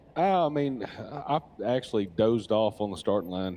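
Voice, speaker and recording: A man with a Louisiana accent speaks in a dark, mellow tone. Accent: US Southern (Louisiana). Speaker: off-road racer. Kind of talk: live interview. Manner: relaxed, halting with fillers.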